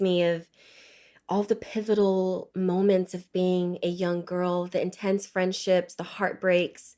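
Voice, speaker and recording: On a very clean recording with a silent background, a woman with an unremarkable speaking voice talks at a medium pitch and a fairly slow pace. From Nigeria (Lagos), moved to Los Angeles at 10. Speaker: actress. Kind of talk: casual interview chat.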